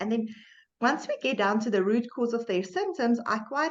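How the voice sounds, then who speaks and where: A woman speaks with a South African accent. Her pitch is fairly high and her pace moderate. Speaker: medical doctor and podcast host. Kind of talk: podcast interview.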